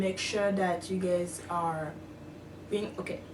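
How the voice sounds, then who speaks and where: Medium-pitched woman with a non-native accent and monotone, flat intonation, against audible room echo and noticeable background noise. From outside the US. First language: not English. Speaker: international student vlogger. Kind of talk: casual vlog. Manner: hesitant, many fillers.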